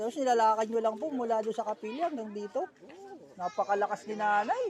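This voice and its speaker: Speech comes at a very fast pace. Noticeable background noise sits behind it. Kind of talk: casual vlog interview.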